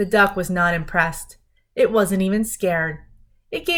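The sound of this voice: With ordinary pitch variation, an unforced reading voice comes through over a quiet background.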